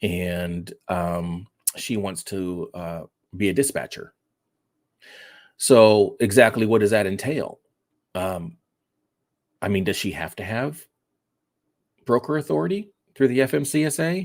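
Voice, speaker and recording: A man's fairly low voice at a fairly slow pace, with lively intonation and long, frequent pauses. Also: very clean recording, silent background. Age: 60s. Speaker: trucking business coach. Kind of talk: live stream Q&A. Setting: live stream. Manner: casual, halting with many fillers.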